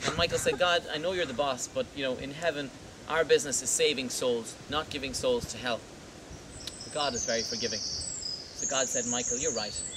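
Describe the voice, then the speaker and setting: Someone with an Irish accent speaks at a moderate pace with ordinary pitch variation over noticeable background noise. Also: man, fairly high pitch for a man. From Ireland. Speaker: tour guide. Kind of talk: humorous folklore storytelling to a tour group. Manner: playful, comic.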